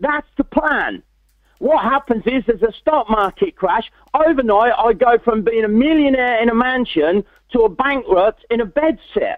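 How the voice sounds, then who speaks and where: Speaking at a moderate pace, a man with an English accent uses an extremely high pitch. His intonation is lively and his loudness very even. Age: 60s. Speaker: motivational speaker. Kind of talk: interview testimony. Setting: webinar.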